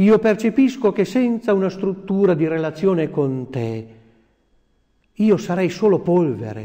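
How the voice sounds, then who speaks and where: With long, frequent pauses and a fairly slow pace, a man speaks in a high voice with a dark, mellow tone and lively intonation. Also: quiet background. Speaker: priest. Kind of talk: sermon. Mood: calm, devout, solemn. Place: office.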